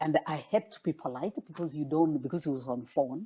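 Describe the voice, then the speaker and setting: In a quiet setting, a woman with a Kenyan accent talks at a moderate pace in a very deep, low pitch, her tone dark and mellow and her pitch varying in an ordinary way. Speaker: former political candidate. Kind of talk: interview. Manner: halting.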